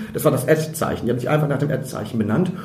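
A man's fairly high-pitched voice with ordinary pitch variation, audible room echo and noticeable background noise. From Germany, Emsland (Lower Saxony). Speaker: comedian and theatre director. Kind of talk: casual chat. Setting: wine cellar of a pub.

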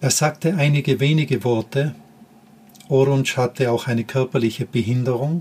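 A man speaks in a somewhat breathy voice at a moderate pace, with fairly even intonation and very even loudness. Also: medium pitch for a man. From Austria, Tyrol. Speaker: podcast host, former teacher. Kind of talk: personal storytelling monologue.

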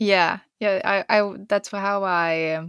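A woman's flat, monotone voice with a Swedish accent, dry and close with no echo, on a very clean recording with a silent background. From Sweden. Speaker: pro skier and surfer. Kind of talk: interview.

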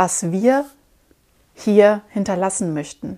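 This is a woman speaking at a medium pitch. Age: 30s. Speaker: podcast host, personal development coach. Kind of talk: solo podcast monologue. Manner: animated.

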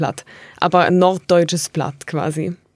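A woman's plain, everyday voice, fairly low in pitch, with fairly even intonation and a dry, close sound with no echo. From Tuttlingen district, southwest Germany. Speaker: linguist. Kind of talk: interview, expert explanation.

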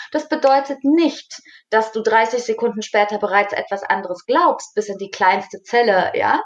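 A woman's plain, everyday voice with lively intonation. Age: 40s. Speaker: mentor and coach. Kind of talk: casual chat.

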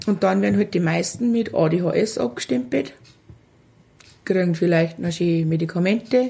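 A woman speaks in a Lower Bavarian accent. Her pace is moderate. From Lower Bavaria, Germany. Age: 40s. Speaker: mother of a child with a genetic syndrome. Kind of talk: casual interview. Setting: kitchen.

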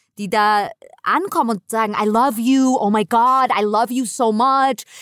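A woman speaks at a fairly high pitch in an animated tone. The sound is dry and close with no echo, and the recording is very clean with a silent background. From New York. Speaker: actress, comedian and video game voice actor. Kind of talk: casual interview chat.

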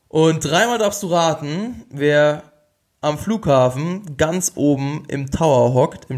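A man is speaking. His pace is very slow. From Bavaria, Regensburg. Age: 20s. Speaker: health coach, podcast host. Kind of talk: solo podcast monologue. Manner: animated.

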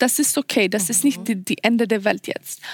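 A woman with a Swedish accent speaks at a high pitch with lively intonation. The recording is very clean and silent behind her, with a dry, close sound and no echo. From Sweden. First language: Swedish (speaking German). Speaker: model contestant. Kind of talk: casual chat. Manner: halting, searching for words.

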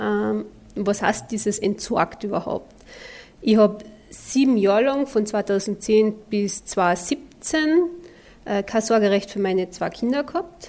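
A woman at a medium pitch and a very slow pace, with ordinary pitch variation. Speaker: podcast host, mental trainer. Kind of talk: podcast monologue.

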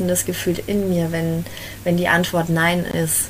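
Noticeable background noise and audible room echo accompany a woman talking at a fairly slow pace. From Bavaria, Germany (Fürth, Franconia). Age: 20s. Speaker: life coach in training. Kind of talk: interview conversation. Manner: hesitant, many filler sounds.

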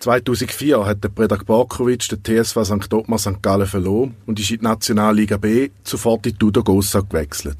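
With hardly any pauses, a man speaks in a fairly low, somewhat breathy voice and fairly even intonation. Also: moderate pace. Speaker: podcast host and narrator. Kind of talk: scripted narration.

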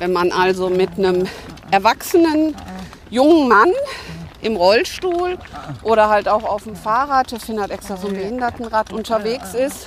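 With noticeable background noise behind her, a woman talks at a moderate pace in a fairly high pitch, with lively intonation, big swings in loudness, and long, frequent pauses. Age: 60s. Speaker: hospice volunteer. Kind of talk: interview on a walk. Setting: outdoors.

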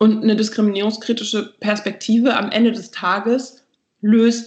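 The voice is somewhat breathy, with monotone, flat intonation. The pace is moderate. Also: woman. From Berlin, Germany. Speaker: anti-racism trainer, institute co-founder. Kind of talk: interview.

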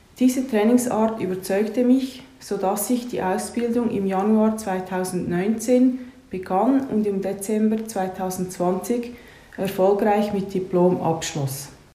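Very slowly and at a medium pitch, a woman talks with ordinary pitch variation, audible room echo and noticeable background noise. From Switzerland, Lucerne area. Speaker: massage therapist and fascia trainer. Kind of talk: interview with prepared answers.

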